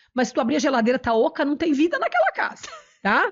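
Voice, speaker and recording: A woman speaks loudly in an animated tone. Her intonation is lively. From southern Brazil, Italian-descended interior (Nova Brescia, RS). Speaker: cooking youtuber and entrepreneur. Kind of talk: interview.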